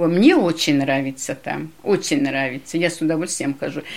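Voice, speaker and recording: A woman's very deep, low-pitched voice at a moderate pace. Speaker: parishioner.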